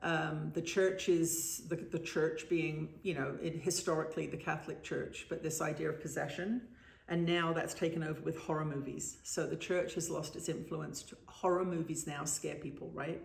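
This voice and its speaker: Her fairly low-pitched voice is monotone and flat, with hardly any pauses at a moderate pace. Audible room echo surrounds this woman's speech. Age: 60s. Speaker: spiritual author and trance channel. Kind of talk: interview. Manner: halting.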